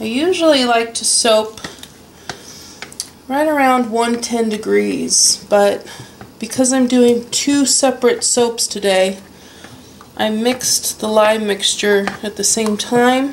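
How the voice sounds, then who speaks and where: A woman at a very slow pace and fairly high pitch, with fairly even intonation, long, frequent pauses and noticeable background noise. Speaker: soap maker. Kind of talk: tutorial. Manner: casual.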